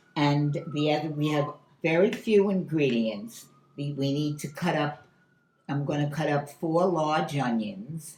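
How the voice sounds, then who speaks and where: A woman's very deep, low voice, fairly slow, with ordinary pitch variation and audible room echo. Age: 90s. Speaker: home cook. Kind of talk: cooking demonstration. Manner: halting.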